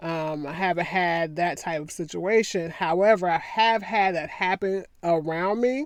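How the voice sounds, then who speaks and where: This woman's voice sits fairly low in pitch. She speaks at a moderate pace. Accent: Southern US. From US South. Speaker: attorney and commentary vlogger. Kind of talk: casual commentary monologue.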